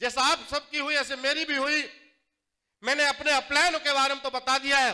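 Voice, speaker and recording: A man speaks in a raised, projected voice at an extremely high pitch for a man. His tone is bright and sharp, his pace fairly slow, and the background quiet. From Jattari, Aligarh district, Uttar Pradesh, India; Uttar Pradesh, India. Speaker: network marketing distributor, former juice seller; former juice seller. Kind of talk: motivational stage speech. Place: hall.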